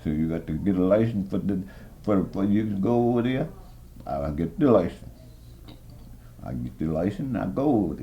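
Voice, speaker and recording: In an American accent, the speaker keeps a moderate pace with very wide pitch swings and long, frequent pauses, and the room echo is audible. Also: man, very deep, low pitch for a man. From US South, southern Maryland. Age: 80s+. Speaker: war veteran. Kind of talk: oral history interview. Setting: care center room. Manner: halting.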